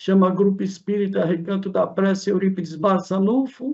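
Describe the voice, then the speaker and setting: A man's high-pitched voice. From interior of São Paulo state, Brazil. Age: 70s. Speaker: shopkeeper and spiritist group founder. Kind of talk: casual interview chat.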